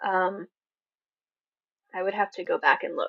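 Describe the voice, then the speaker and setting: A soft-spoken woman is heard with a dry, close sound and no echo. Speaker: author hosting a livestream Q&A. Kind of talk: livestream Q&A. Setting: livestream. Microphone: mic may not pick up quiet voice.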